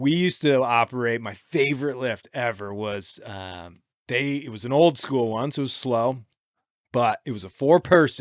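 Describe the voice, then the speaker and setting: In an unremarkable speaking voice with an American accent, a man at medium pitch talks at a moderate pace with ordinary pitch variation and big swings in loudness against a quiet background. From Michigan. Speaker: podcast host. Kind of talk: casual chat. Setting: aboard a sailboat.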